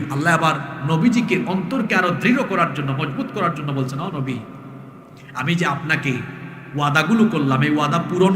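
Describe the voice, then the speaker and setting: Music is heard behind the voice. A man talks with lively intonation. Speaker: Islamic preacher. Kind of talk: religious sermon. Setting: outdoor religious gathering. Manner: engaging the crowd with questions.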